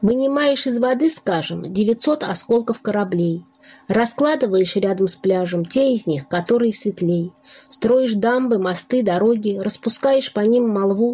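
A woman with a normal speaking voice talks at a fairly slow pace in a fairly high pitch, her intonation lively and her loudness very even. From Russia, Nizhny Novgorod. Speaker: poet. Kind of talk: poetry reading.

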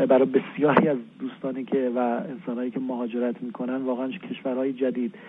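Noticeable background noise sits behind the voice. It's a man at a medium pitch and a moderate pace. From Iran, Kermanshah. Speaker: fiction writer. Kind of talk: interview.

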